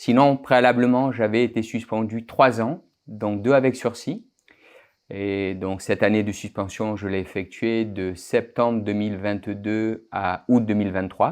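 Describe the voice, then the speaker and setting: A man with a fairly low voice speaks at a very slow pace and with fairly even intonation. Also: quiet background. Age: 60s. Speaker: naturopathic doctor. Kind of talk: interview. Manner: halting, with fillers and repetitions.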